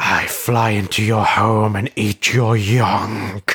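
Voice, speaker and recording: A put-on character voice from a man, raspy and medium in pitch, at a very slow pace. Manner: terrifying, menacing, creepy.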